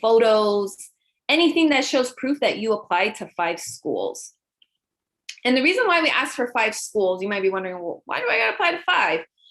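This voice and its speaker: Her pitch swings very widely. This woman speaks at a fairly high pitch. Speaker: school counselor. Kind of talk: presentation to parents. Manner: fast.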